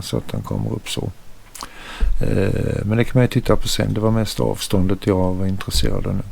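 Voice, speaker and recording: A man talks at a fairly quick pace in a fairly low voice, with ordinary pitch variation. Noticeable background noise runs underneath. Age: 70s. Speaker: tech YouTuber. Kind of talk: tutorial. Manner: halting.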